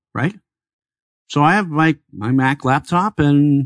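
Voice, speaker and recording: A man with an American accent speaks in a normal speaking voice, his intonation lively, against a quiet background. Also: dry, close sound with no echo. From Chicago, US Midwest. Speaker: tech entrepreneur and consultant. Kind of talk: radio interview. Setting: studio.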